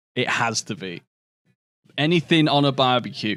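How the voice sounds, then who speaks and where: A man's animated voice of medium pitch, with lively intonation at a moderate pace, on a very clean recording with a silent background. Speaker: video game streamer. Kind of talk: casual livestream chat.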